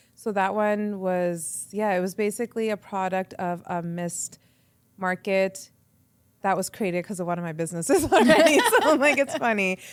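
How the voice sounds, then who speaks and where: In a Canadian accent, a woman with an unremarkable speaking voice talks at a moderate pace and medium pitch with ordinary pitch variation, on a very clean recording with a silent background. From Canada, Edmonton. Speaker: radio entrepreneur and presenter. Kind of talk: casual interview chat. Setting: podcast interview.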